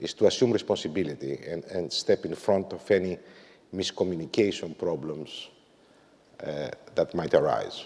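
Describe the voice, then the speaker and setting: A man with a fairly low voice talks at a moderate tempo. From Greece. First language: Greek. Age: 50s. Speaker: management consultant and author. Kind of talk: corporate talk. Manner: frequent filler words and hesitations.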